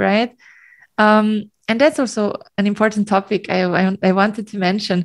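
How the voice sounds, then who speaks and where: A woman with a German accent and fairly high pitch, fairly slow and fairly even in intonation, on a very clean recording with a silent background. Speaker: singer. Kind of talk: casual chat. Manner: giggly, hesitant with fillers.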